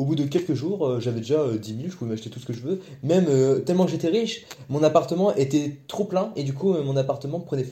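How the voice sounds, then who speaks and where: A fairly high-pitched, somewhat breathy male voice, dark and mellow in tone, with lively intonation at a fairly quick pace. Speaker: podcast co-host. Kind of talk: casual chat.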